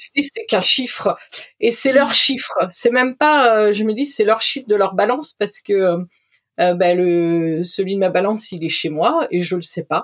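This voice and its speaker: In an ordinary speaking voice, a woman with a fairly high pitch and lively intonation speaks at a fairly slow pace. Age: 40s. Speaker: podcast guest sharing recovery from eating disorder. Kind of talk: testimony.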